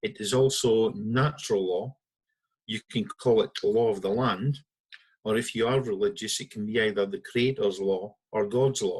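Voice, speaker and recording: A man speaks with a northeast Scottish accent. His pitch varies in an ordinary way. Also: medium pitch for a man, moderate pace. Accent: Scottish (north-east). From Scotland, Aberdeen. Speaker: founder of a citizens' legal movement. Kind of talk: talk to an online audience.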